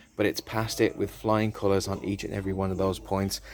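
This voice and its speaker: Fairly quick speech from a man with a British accent. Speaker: car dealer presenter. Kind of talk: sales pitch. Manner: animated.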